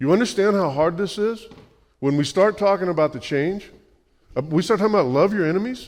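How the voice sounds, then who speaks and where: A man talks at a fairly quick pace in a high pitch, with ordinary pitch variation. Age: 60s. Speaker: pastor. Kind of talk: sermon. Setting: church. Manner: animated.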